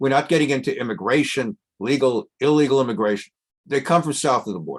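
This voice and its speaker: A quiet background frames a man talking at a medium pitch with an American accent. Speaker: rabbi teaching Torah class. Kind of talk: lecture. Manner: conversational, with filler hesitations.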